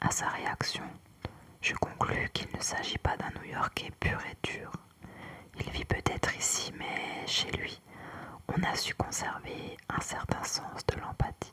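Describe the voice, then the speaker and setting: A woman whispers at a very slow pace, leaving long, frequent pauses. Background noise is noticeable. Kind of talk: whispered book reading, ASMR. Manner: whispered.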